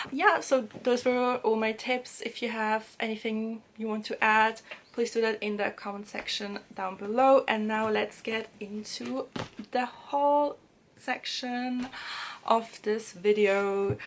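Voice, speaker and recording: In a German accent, a woman with a fairly high pitch talks at a very slow pace, her intonation fairly even. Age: 20s. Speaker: language-learning and book vlogger. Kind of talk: casual vlog tips. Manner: hesitant, many fillers.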